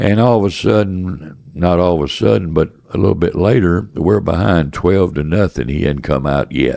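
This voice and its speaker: A man speaks at a moderate pace in a very deep, low voice, with very even loudness and hardly any pauses. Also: lively intonation. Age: 80s+. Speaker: businessman, former baseball executive. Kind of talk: interview answer.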